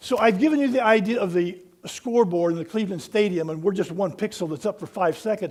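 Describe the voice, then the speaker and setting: With an animated tone and ordinary pitch variation, a man talks at a very fast pace. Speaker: pastor. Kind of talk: sermon.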